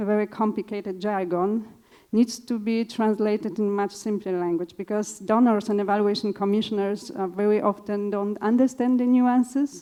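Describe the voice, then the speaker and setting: A woman's fairly high voice with a dark, mellow tone and a Polish accent, fairly even in intonation and moderate in pace. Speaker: evaluation consultant. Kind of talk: panel discussion answer.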